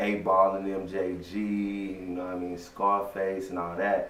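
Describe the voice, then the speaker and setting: Audible room echo and noticeable background noise surround a man speaking in a fairly low pitch. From Texas (Waco), born in Louisiana. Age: 20s. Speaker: rapper. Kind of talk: interview. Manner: casual, laid-back.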